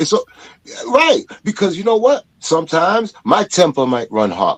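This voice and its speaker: Loud and animated, a man speaks at a moderate pace in a high voice, his pitch swinging very widely. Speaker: podcast guest. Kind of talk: casual chat.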